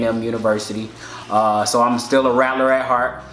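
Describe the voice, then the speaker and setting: Male speech at medium pitch with fairly even intonation, audible room echo and noticeable background noise. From Alabama, Birmingham. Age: 20s. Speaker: dental student and army veteran. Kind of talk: casual chat.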